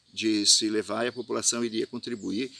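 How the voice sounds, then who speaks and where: Against a very clean, silent background, a man speaks at a moderate pace in a bright, sharp tone. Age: 60s. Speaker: festival organizer. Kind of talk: video statement. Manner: hesitant, many fillers.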